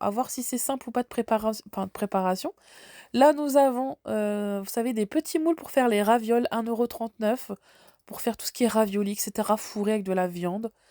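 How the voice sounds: Heard in a dry, close sound with no echo, a woman with a dark, mellow tone speaks at a medium pitch with ordinary pitch variation.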